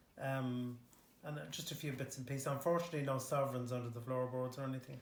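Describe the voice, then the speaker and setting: A man with a Dublin accent talks at a very fast pace and medium pitch. His intonation is fairly even, with audible room echo. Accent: Dublin Irish. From Ireland, Dublin (Harold's Cross). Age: 60s. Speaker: local resident. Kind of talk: interview. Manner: hesitant, many fillers.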